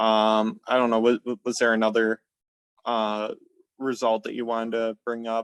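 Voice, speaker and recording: At a moderate pace, a man with an American accent speaks in a medium-pitched, monotone, flat voice, recorded dry and close with no echo. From upper Midwest US, Minnesota. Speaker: sleep coaching client. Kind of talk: testimony interview. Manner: halting, many fillers and repetitions.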